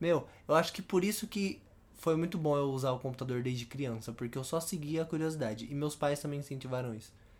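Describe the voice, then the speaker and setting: A man with a plain, everyday voice speaks at a fairly high pitch and a fairly quick pace with ordinary pitch variation, in a very clean recording over a silent background. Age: 20s. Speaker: podcast co-host. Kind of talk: casual chat.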